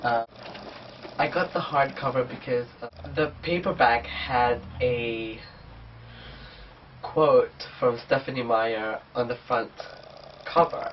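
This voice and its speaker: With noticeable background noise behind him, a man of medium pitch talks at a very slow pace. He leaves long, frequent pauses and shows ordinary pitch variation. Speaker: book vlogger. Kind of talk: casual vlog, book haul. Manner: casual, hesitant with fillers.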